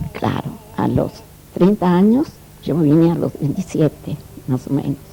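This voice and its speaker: Over noticeable background noise, a woman with a fairly low pitch speaks fairly slowly with lively intonation. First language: Italian (speaking Spanish). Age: 70s. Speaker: immigrant interviewee, Italian teacher. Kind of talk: interview, life story.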